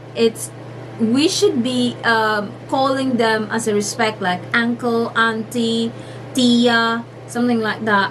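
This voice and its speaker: Speaking very slowly in a Filipino accent, a woman keeps her fairly high voice fairly even in intonation, with noticeable background noise and audible room echo. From Philippines. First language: Filipino (Tagalog). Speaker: vlogger. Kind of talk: casual vlog talk. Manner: halting, many fillers.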